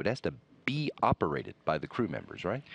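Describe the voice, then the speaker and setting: Fairly quick speech from a man, with vocal fry. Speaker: NASA public affairs commentator. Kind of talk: TV interview host.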